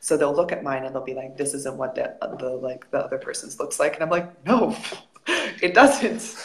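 Over noticeable background noise, a woman in an American accent speaks at a moderate pace. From United States. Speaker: professional volleyball player. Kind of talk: casual interview.

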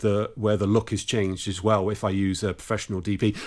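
On a very clean recording with a silent background, a man talks at a medium pitch with an English accent. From England. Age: 50s. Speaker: rock musician and guitarist. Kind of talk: interview.

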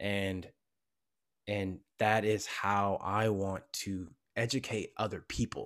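On a very clean recording with a silent background, a man with an American accent and fairly low pitch speaks at a very slow pace. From US. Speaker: actor and content creator. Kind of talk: casual interview. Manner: animated.

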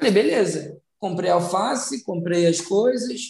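A man speaks with ordinary pitch variation. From Brazil, São Gonçalo, Rio de Janeiro. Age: 30s. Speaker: social entrepreneur. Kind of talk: interview. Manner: halting, with repetitions.

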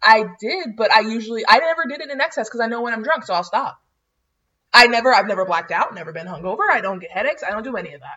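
A woman with an American accent talks at a very fast pace in a fairly high voice. Her pitch swings very widely, and her loudness rises and falls a lot. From North Florida small town. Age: 20s. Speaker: podcast co-host. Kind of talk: casual chat.

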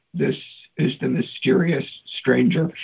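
Put-on character voice at a middle pitch and fairly slow pace. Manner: playful, mysterious.

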